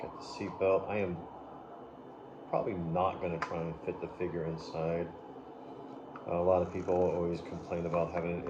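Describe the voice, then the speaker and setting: In a room with audible echo and noticeable background noise, a man talks in a very deep, low voice with monotone, flat intonation. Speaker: toy reviewer. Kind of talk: unboxing review. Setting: home at night. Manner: soft-spoken; rambling filler words.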